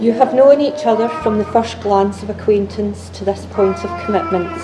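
Clear music sounds behind the speaker. She is a woman who talks at a moderate pace. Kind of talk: ceremony address. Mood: warm, solemn. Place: hall.

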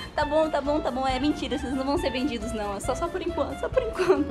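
A woman speaks at a very fast pace with ordinary pitch variation. Clear music plays in the background. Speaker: vlogger. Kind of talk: casual vlog chat. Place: home room. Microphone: phone near.

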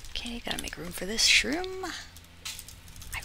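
Recorded dry with no echo, a woman talks over noticeable background noise. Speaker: gaming video creator. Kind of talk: casual gameplay commentary. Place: home room.

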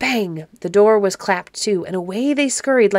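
This recording features a natural reading voice.

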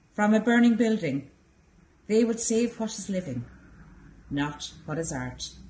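A soft-spoken woman with an Irish accent, a dark, mellow tone and medium pitch, somewhat breathy, at a fairly slow pace with very wide pitch swings. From Ireland. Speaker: library staff member. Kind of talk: poem reading, measured and contemplative. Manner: soft, reflective. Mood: calm, tender. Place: hall.

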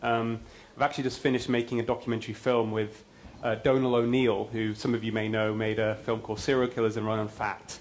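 A man's very fast, monotone, flat delivery over light background noise. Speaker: conference speaker. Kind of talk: lecture. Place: hall. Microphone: lapel.

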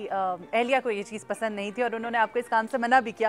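Music plays behind a woman speaking. Her voice sits fairly high, and her intonation stays fairly even. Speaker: journalist. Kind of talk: news feature narration.

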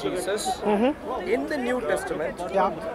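Crowd noise sits behind a man as he talks. The sound is dry, with no echo. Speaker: debater at a public speaking spot. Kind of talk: debate argument. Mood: assertive, argumentative. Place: open country. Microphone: handheld.

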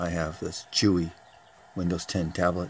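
Over light background noise, a man with a very deep, low pitch speaks in a flat monotone. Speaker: amateur radio hobbyist. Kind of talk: casual show-and-tell tutorial. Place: workshop. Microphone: phone near.

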